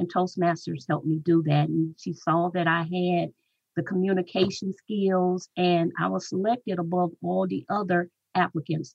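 A woman with an ordinary speaking voice, fairly low in pitch, fairly even in intonation, at a moderate pace. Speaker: Toastmasters club leader. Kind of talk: interview answers. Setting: radio studio.

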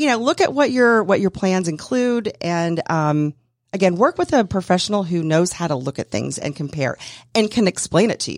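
In an American accent, a woman talks at a medium pitch and moderate pace in an ordinary speaking voice, on a very clean recording with a silent background. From US South. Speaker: insurance consultant. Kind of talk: casual interview. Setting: radio studio.

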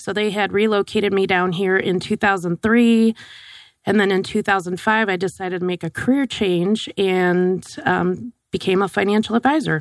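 An ordinary speaking voice with an American accent and ordinary pitch variation, dry and close with no echo, in a very clean recording with a silent background. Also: woman, medium pitch for a woman, moderate pace. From US, Wisconsin and other northern states. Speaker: financial advisor, social security expert. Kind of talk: radio interview. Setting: radio studio.

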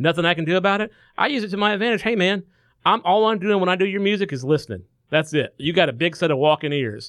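Speaking very fast, a man with a Southern US accent uses lively intonation and a high pitch for a man. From Macon, Georgia. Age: 30s. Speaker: musician and studio owner. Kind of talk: interview. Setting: studio.

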